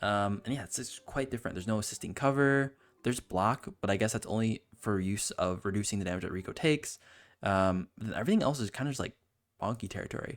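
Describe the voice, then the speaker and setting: Ordinary pitch variation from a man with a fairly low pitch, at a very fast pace. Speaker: gaming youtuber. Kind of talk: gameplay commentary. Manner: rambling, filler-heavy; mumbling at times.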